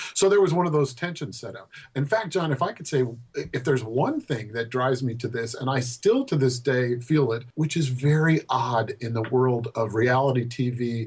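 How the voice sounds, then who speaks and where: A man with an American accent speaks at a moderate pace and medium pitch. His voice is somewhat breathy, with ordinary pitch variation. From Colorado, US. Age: 60s. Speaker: poet. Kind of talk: interview. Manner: halting.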